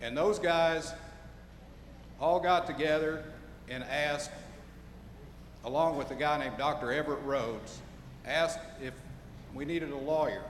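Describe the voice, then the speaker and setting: With an American accent, a man speaks at a moderate pace with a fairly high pitch and fairly even intonation, leaving long, frequent pauses. Audible room echo and noticeable background noise fill the recording. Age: 60s. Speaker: lawyer.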